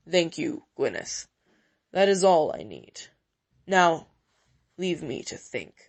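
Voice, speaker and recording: A woman's raspy put-on character voice at medium pitch, fairly slow, with big swings in loudness and long, frequent pauses. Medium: read story. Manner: stiff, curt, carefully chosen words.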